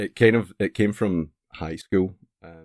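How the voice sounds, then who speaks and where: A man talks with a Scottish accent and fairly even intonation. The sound is dry and close, with no echo. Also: very clean recording, silent background. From Scotland. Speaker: streamer. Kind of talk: casual chat.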